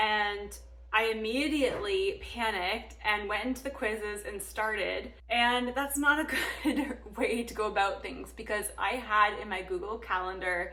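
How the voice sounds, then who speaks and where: With noticeable background noise and audible room echo, a woman speaks at a moderate pace. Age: 30s. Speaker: nursing student and vlogger. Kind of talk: casual vlog talk.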